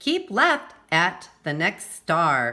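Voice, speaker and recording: A woman uses a put-on character voice in a fairly low pitch. The recording is very clean, with a silent background. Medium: read story. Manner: bossy, curt.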